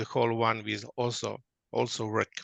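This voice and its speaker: A man with a non-native accent and a bright, sharp tone at a moderate pace, in dry, close sound with no echo. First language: not English. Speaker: workshop presenter. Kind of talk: interactive workshop. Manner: halting.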